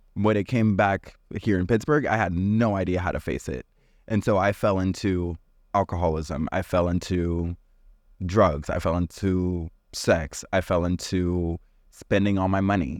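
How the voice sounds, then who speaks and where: Speaking at a moderate pace with an American accent, a man uses a very deep, low pitch and ordinary pitch variation against a quiet background. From Arizona, US. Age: 20s. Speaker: podcast guest. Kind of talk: casual chat.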